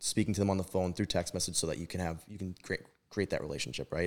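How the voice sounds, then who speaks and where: A man speaks with an American accent at a very deep, low pitch. The recording is very clean, with a silent background. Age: 30s. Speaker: real estate brokerage owner. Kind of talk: casual chat.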